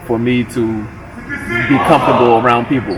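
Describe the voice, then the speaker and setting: Music plays in the background as a man speaks in a New York accent. His intonation is monotone and flat. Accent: New York area American. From New Jersey, US (New York area). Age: 20s. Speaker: professional basketball player. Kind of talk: interview monologue.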